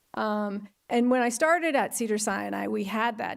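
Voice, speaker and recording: There is music in the background. The speaker goes at a moderate pace. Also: woman. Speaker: hospital risk management attorney, former clinician. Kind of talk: conference talk. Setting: auditorium with audience. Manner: hesitant, many fillers.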